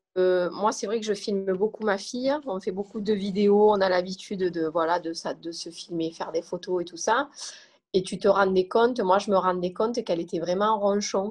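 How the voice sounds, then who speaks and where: A woman's ordinary speaking voice, an ordinary speaking voice of medium pitch, at a moderate pace with fairly even intonation. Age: 30s. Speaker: mother of a diabetic child. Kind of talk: testimony.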